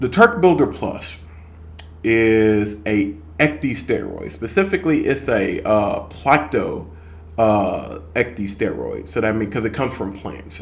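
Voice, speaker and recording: A man talks at a fairly slow pace with a fairly low pitch and a somewhat breathy voice. Room echo is audible. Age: 30s. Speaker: fitness vlogger. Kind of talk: casual vlog monologue. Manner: hesitant, many fillers.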